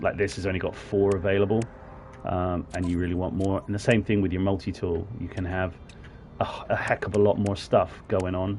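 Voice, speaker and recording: Speaking fairly quickly, a man with a very deep, low pitch keeps his intonation monotone and flat. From southwest England, Plymouth. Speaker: gaming streamer. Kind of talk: live gameplay commentary. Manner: casual, chatty with hesitations.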